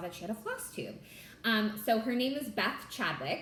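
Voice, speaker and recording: With an American accent, a woman speaks in a bubbly tone at a fairly high pitch. Audible room echo and noticeable background noise surround her. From California. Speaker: cross stitch vlogger and attorney. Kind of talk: casual chat.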